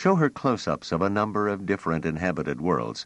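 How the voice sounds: What you hear is a natural reading voice.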